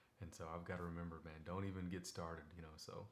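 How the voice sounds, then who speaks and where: A man's very deep, low voice, flat and monotone, at a fairly quick pace with audible room echo. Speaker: devotional video host. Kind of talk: casual Bible devotional talk. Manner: fast; conversational, many fillers.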